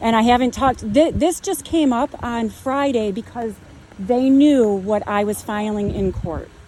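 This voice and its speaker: A woman with a fairly high pitch and ordinary pitch variation talks at a fairly slow pace amid noticeable background noise. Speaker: homeowner in property dispute. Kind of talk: heated argument with officers. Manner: loud.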